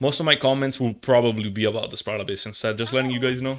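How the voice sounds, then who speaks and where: Speaking with an Italian accent, a man keeps his intonation fairly even. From Italy. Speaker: gaming streamer. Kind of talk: casual live stream chat. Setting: live stream. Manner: halting.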